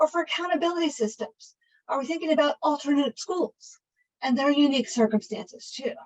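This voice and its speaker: A woman with a high pitch, ordinary pitch variation and a fairly quick pace. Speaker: education policy presenter. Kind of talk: webinar presentation. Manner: fast.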